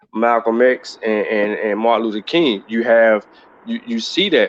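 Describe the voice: At a moderate pace, a man speaks with a medium pitch.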